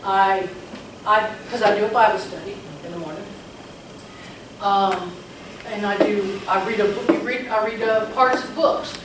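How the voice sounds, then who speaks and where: Speaking at a moderate pace with long, frequent pauses, a woman with a fairly high pitch shows big swings in loudness amid audible room echo and noticeable background noise. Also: ordinary pitch variation. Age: 60s. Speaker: real estate agent. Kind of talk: interview. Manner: halting.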